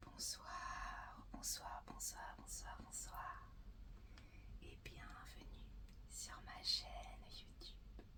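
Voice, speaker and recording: Whispering from a woman, very slow, with long, frequent pauses. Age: 20s. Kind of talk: casual talk to camera. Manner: whispered.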